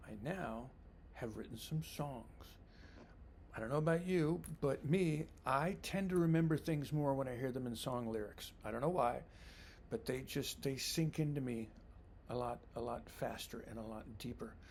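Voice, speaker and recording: Audible room echo surrounds the voice. A man talks at a moderate pace. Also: medium pitch for a man, ordinary pitch variation. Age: 60s. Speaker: vlogger. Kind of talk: personal reflection monologue. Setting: home basement. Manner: casual, with hesitations and repeated words.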